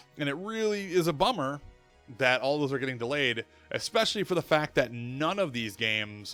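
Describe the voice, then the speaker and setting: Music plays in the background as a man talks at a fairly quick pace. His pitch varies in an ordinary way. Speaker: streamer and web show host. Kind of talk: casual live-stream monologue. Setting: live stream. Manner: fast.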